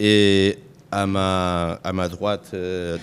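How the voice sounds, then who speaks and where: A man with a Catalan accent talks at a very deep, low pitch with fairly even intonation. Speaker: conference moderator. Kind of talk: conference panel moderation. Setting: conference stage with audience. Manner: halting, many hesitations.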